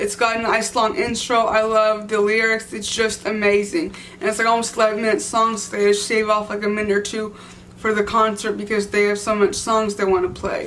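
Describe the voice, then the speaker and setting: Fairly quick speech from a woman with an American accent, fairly high pitch and fairly even intonation, with audible room echo. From Texas. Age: 20s. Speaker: music vlogger. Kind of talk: casual vlog monologue. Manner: halting, with fillers and restarts.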